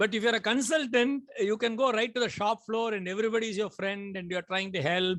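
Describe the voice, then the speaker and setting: Talking at a fairly quick pace, a man speaks with a high pitch and ordinary pitch variation. He hardly pauses at all. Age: 60s. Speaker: consultant and business owner. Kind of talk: webinar Q&A discussion. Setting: online webinar. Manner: halting, many fillers and repeats.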